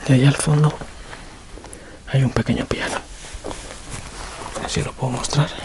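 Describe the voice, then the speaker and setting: Soft-spoken, a man talks at a moderate pace with long, frequent pauses against noticeable background noise. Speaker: urban explorer video creator. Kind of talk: walkthrough narration. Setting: indoors in abandoned house.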